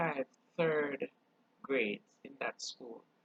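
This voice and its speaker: Very slowly, a woman speaks with a very deep, low pitch and vocal fry, the sound dry and close with no echo. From Jamaica. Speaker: channel host, culture vlogger. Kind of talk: casual monologue vlog.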